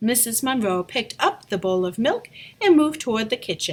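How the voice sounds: The speaker has a natural reading voice. The intonation is lively.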